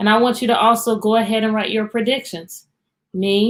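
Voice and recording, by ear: Someone reads aloud in a natural voice against a quiet background.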